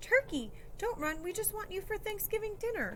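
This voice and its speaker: Over clear background noise, a woman puts on a squeaky character voice at a moderate pace. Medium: read story.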